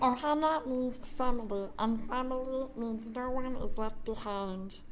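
Against clear background noise, a female-sounding voice in a high-pitched put-on character voice speaks at a moderate pace. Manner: cute, cartoonish.

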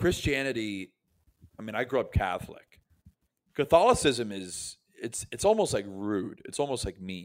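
A plain, everyday voice with lively intonation and big swings in loudness. The recording is very clean with a silent background. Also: man, medium pitch for a man, moderate pace. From US South, Tampa, Florida. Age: 20s. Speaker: comedian. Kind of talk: casual chat.

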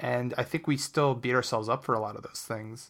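A man with a bright, sharp tone talks at a fairly quick pace. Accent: American. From New Jersey. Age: 30s. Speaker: comedian and improviser. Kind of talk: casual chat.

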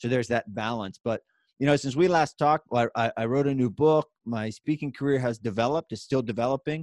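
Against a quiet background, a man with a western Pennsylvania accent speaks in an energetic tone at a fairly quick pace, his medium pitch showing ordinary variation. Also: dry, close sound with no echo. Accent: western Pennsylvania American. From western Pennsylvania, Pittsburgh side. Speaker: former MMA fighter, author and speaker. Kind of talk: podcast interview.

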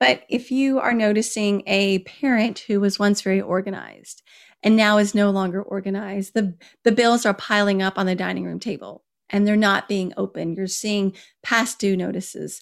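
A woman's medium-pitched, unremarkable speaking voice with an American accent, at a moderate pace with fairly even intonation. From US South, Kentucky. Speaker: personal finance author. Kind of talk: interview. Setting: video call.

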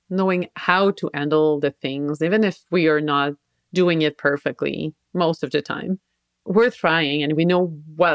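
At a fairly slow pace, a speaker with a French Canadian accent talks with ordinary pitch variation in a dry, close sound with no echo. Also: woman. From Quebec. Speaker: social worker and parent coach. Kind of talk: interview.

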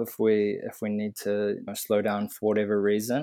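Against a quiet background, a man with a New Zealand accent talks at a fairly quick pace in a fairly low pitch, his tone dark and mellow. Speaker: motorcycle tour business manager. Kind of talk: interview.

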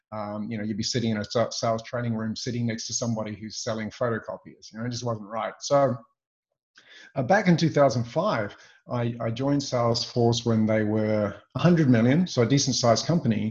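A man speaks at a fairly quick pace in a medium pitch, his voice somewhat breathy and his pitch varying in an ordinary way. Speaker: sales consultant and trainer. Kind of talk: casual interview chat. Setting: video call.

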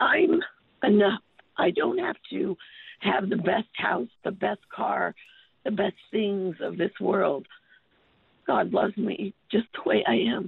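In a put-on character voice, a man speaks high-pitched and raspy at a fairly slow pace, with long, frequent pauses. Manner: heartfelt, sincere testimony.

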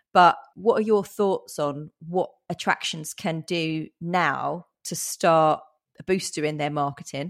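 On a very clean recording with a silent background, a woman with an English accent speaks very slowly at a fairly low pitch. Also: ordinary pitch variation, dry, close sound with no echo. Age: 40s. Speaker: podcast host, digital agency owner. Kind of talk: casual interview.

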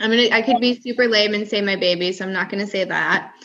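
She talks at a fairly quick pace with ordinary pitch variation. The woman has an unremarkable speaking voice. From US, California and upstate New York. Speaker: former adult film performer and content creator. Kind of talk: casual interview chat.

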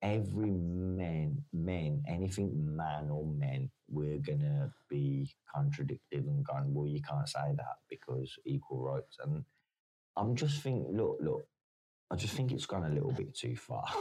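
A man with an English accent speaks at a fairly slow pace in a very deep, low voice with a dark, mellow tone, his pitch swinging very widely while his loudness stays very even. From England. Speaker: caller. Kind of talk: casual chat.

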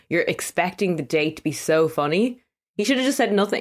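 A woman with an Irish accent at a medium pitch, very wide pitch swings and a fairly quick pace, on a very clean recording with a silent background. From Ireland. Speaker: podcast co-host.

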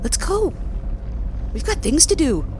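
Over loud background noise, a woman uses a put-on character voice pitched extremely high. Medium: actual play. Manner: curt, evasive.

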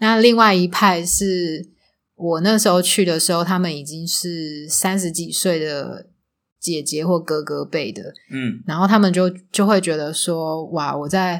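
A woman with a Taiwanese accent, fairly low pitch, ordinary pitch variation and a fairly slow pace, on a very clean recording with a silent background. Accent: Taiwanese Mandarin. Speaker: former casino supervisor. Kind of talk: casual interview chat.

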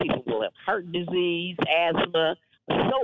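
A woman with an American accent, very deep and low in pitch, at a fairly slow pace. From Wisconsin, US Midwest. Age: 70s. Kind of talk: radio interview.

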